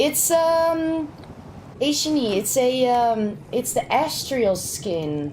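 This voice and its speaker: A woman at a high pitch with very wide pitch swings, at a very slow pace with long, frequent pauses, in audible room echo. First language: Dutch. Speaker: game streamer. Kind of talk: live gaming stream chat. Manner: casual, halting.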